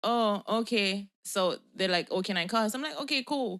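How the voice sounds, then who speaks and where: Animated and at a moderate pace, a woman speaks with a Jamaican accent at medium pitch with ordinary pitch variation. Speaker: podcast co-host, spiritual healer. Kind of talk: casual chat. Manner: animated storytelling.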